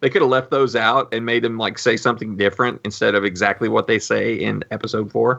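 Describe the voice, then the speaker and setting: Talking very fast with hardly any pauses, a man uses a bright, sharp, medium-pitched voice with vocal fry and fairly even intonation. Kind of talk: casual chat.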